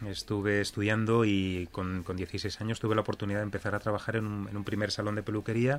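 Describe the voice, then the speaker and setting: A man with a fairly low-pitched voice talks at a very fast pace with hardly any pauses and monotone, flat intonation, on a very clean recording with a silent background. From Spain, Elche (Alicante). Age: 40s. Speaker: hair salon chain founder. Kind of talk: radio interview. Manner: halting, frequent repetitions.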